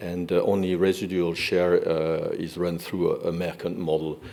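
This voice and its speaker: A man with a French accent and a very deep, low pitch, at a moderate pace. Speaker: energy industry representative. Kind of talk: conference presentation. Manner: halting, many fillers.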